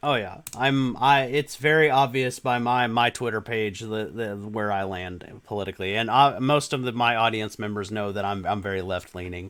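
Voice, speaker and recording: A man at medium pitch with an American accent, a normal speaking voice, moderate pace, hardly any pauses and ordinary pitch variation. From Texas. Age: 30s. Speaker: gaming YouTuber. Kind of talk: casual interview chat.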